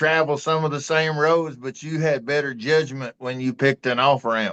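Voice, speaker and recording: A man's fairly high voice in an East Texas accent, with ordinary pitch variation. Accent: East Texas Southern. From East Texas, Tyler. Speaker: talk show co-host. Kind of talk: casual chat.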